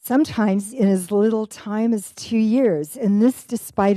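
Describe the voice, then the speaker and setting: A woman at medium pitch with a dark, mellow tone and a fairly slow pace. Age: 70s. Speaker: public hearing speaker, hospice volunteer. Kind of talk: public testimony. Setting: council chamber.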